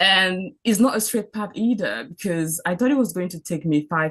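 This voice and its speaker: In a French accent, a woman speaks at a moderate pace. Her intonation is lively. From Cameroon. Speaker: doctor. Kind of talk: mentorship talk.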